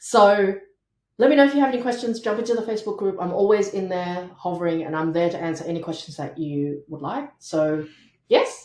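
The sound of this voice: A woman talks at a fairly quick pace in a fairly low voice with a slightly mellow tone and ordinary pitch variation. Audible room echo surrounds her.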